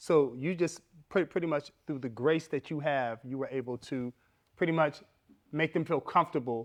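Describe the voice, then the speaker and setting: An ordinary speaking voice, a man's at a fairly high pitch, with ordinary pitch variation, a moderate pace, and a quiet background. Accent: American. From Los Angeles area, US. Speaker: podcast co-host. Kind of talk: interview.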